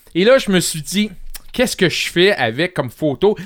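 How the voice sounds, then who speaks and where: The recording of a man with a Quebec accent is very clean, with a silent background and a dry, close sound with no echo. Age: 40s. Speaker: home care health worker. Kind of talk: casual interview. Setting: studio.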